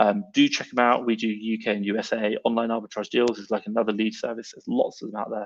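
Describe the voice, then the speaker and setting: The speech moves at a very fast pace with ordinary pitch variation. It is delivered in an English accent. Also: man. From England. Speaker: online seller and live-stream host. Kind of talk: live stream chat answering comments. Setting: live stream. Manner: animated.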